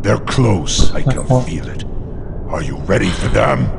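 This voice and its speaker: Against loud background noise, a man puts on a character voice and speaks at a fairly slow pace. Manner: creepy.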